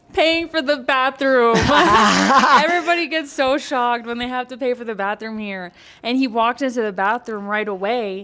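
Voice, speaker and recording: A woman with a high pitch and lively intonation talks with hardly any pauses over noticeable background noise. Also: moderate pace. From Mexican American. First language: bilingual English and Spanish. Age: 20s. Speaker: podcast host. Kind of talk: casual podcast conversation.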